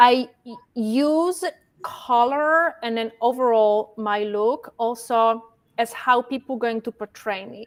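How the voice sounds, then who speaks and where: A woman speaks with a strong non-native accent. Her pace is very slow, and her pitch varies in an ordinary way. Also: fairly high pitch for a woman. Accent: strong foreign. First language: not English. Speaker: fashion stylist. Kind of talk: casual interview chat. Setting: livestream video call. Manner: can sound stern, halting.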